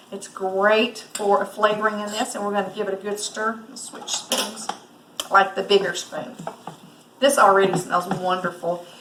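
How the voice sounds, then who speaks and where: A woman at a moderate pace with fairly even intonation and big swings in loudness, over noticeable background noise. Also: medium pitch for a woman. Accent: Southern US. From US South. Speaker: cooking instructor. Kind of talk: cooking tutorial. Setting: lake house kitchen. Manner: casual, hesitant with fillers.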